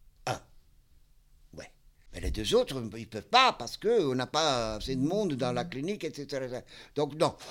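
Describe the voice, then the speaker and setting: Lively intonation and big swings in loudness mark this man's fairly high-pitched voice. He leaves long, frequent pauses. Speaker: psychiatric clinic worker. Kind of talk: casual interview. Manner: halting.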